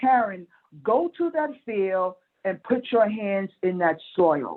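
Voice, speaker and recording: A woman talks fairly slowly at a medium pitch with lively intonation. It is an unremarkable speaking voice. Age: 60s. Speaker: farmer. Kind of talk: panel discussion.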